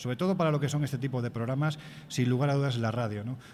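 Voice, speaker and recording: This man's voice is somewhat breathy. His pitch varies in an ordinary way. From Andalusia, Spain. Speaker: magazine editor and radio commentator. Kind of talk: interview.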